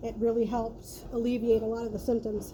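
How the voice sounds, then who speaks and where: The speaking pace is moderate. Background noise is noticeable. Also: woman. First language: Spanish. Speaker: vlogger. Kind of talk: casual personal talk.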